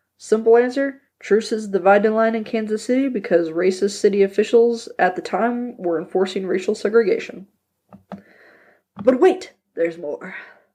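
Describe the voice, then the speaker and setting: A woman's fairly high voice, dark and mellow in tone, with ordinary pitch variation. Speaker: history podcast host. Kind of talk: casual educational podcast narration. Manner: fast; casual, conversational.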